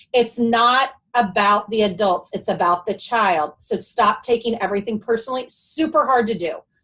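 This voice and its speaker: A woman's fairly high-pitched voice. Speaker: special education webinar presenter. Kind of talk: webinar presentation. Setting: online webinar. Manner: fast.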